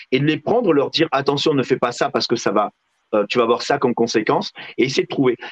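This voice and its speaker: A man at a very fast pace, fairly high in pitch, with ordinary pitch variation, very even loudness and a dry, close sound with no echo. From southwestern France (Lot). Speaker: real estate agent and TV personality. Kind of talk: interview.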